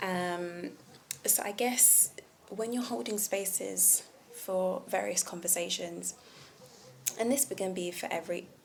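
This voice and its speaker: Speaking fairly slowly at medium pitch with ordinary pitch variation, a woman is heard over noticeable background noise. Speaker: vlogger. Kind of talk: casual monologue on communication. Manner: slow and clear; relaxed tone.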